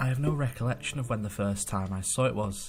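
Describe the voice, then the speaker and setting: With music in the background, a man's fairly quick speech shows ordinary pitch variation. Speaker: amateur horror story narrator. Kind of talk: horror story narration.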